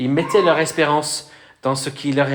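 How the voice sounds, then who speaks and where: A man with a Welsh accent speaks in a fairly high voice with fairly even intonation. Noticeable background noise and audible room echo are present. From Wales. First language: Welsh (speaking French). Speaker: pastor. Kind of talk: sermon. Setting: church. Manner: hesitant, many fillers.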